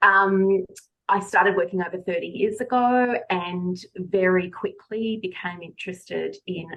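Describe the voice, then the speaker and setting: The speaker has a slight Australian accent and a fairly slow pace. Pitch varies in an ordinary way. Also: woman. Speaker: speech pathologist and consultant. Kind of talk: interview.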